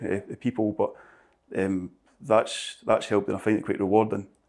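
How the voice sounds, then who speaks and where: The speaker, in a Scottish accent, moves along at a fairly quick pace. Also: man. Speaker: building surveyor. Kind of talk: interview. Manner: halting.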